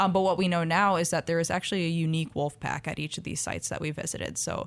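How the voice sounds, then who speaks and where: On a very clean recording with a silent background, a woman with an American accent talks at a very fast pace, her fairly low pitch showing ordinary variation. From Minnesota, US Midwest. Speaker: wildlife ecology graduate student. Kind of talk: radio interview. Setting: radio studio.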